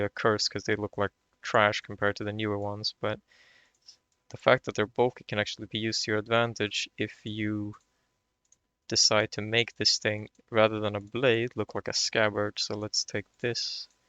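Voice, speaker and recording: Fairly low, monotone, flat male speech with a Swedish accent. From Sweden. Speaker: video game tutorial creator. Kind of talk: tutorial. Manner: halting, repeats words; casual.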